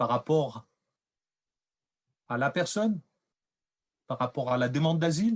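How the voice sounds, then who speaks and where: Lively intonation comes through a dry, close sound with no echo, interrupted by long, frequent pauses. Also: man. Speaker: researcher presenting findings. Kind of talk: lecture. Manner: loud; hesitant.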